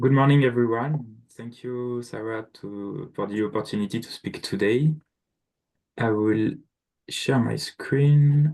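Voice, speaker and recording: A man with a French accent and a dark, mellow tone keeps a fairly even intonation while his loudness swings widely. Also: medium pitch for a man, fairly slow pace. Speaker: equipment sales manager. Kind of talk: product presentation. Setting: video call.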